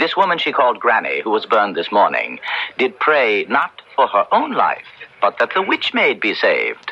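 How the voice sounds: Using a put-on character voice, a man speaks at a moderate pace with a fairly low pitch, a slightly husky edge and very wide pitch swings.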